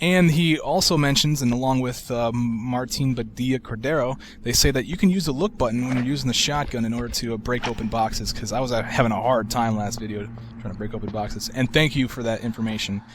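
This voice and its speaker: Amid noticeable background noise, a man speaks very fast at a medium pitch with ordinary pitch variation. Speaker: gaming video creator. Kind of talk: game walkthrough commentary. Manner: calm, sleep-inducing.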